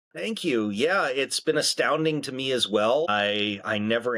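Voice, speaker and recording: A man with a bright, sharp tone, ordinary pitch variation and a moderate pace. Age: 40s. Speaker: voice actor. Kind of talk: interview.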